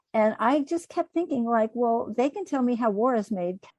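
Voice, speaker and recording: Her tone dark and mellow, a woman speaks at a fairly quick pace with very wide pitch swings, in a dry, close sound with no echo. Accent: American. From US. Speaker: mediator and couples therapist. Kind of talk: interview. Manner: conversational, with fillers.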